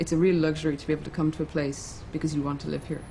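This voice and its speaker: The speaker talks at a very fast pace with an Irish accent. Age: 30s. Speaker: novelist. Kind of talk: interview.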